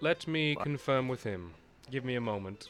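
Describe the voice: Over clear background music, a man puts on a booming character voice at medium pitch, with lively intonation and a moderate pace.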